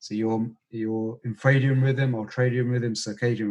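Here a man speaks with a British accent at a moderate pace. His voice has a medium pitch. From UK, Indian heritage. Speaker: breathwork teacher and former pharmacist. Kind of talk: interview conversation.

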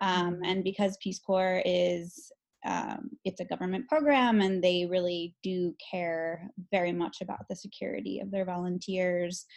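Speaking in an American accent, a woman with an ordinary speaking voice talks at a medium pitch and a fairly slow pace, with ordinary pitch variation. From Chicago, Illinois. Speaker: graduate student, former Peace Corps volunteer. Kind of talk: casual chat.

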